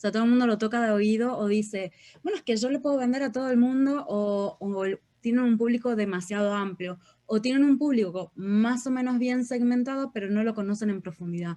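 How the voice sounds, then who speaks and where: A woman with a Uruguayan accent, a dark, mellow tone, fairly high pitch and ordinary pitch variation at a fairly quick pace. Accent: Uruguayan accent retained. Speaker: real estate marketing mentor. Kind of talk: interview.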